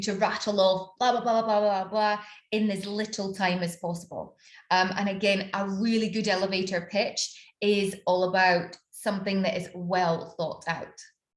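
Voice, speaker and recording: A somewhat breathy woman with a Scottish accent and fairly even intonation. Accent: Scottish, slowed after years abroad. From Scotland. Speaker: business mentor and personal branding coach. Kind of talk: online workshop / master class. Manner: conversational, many fillers.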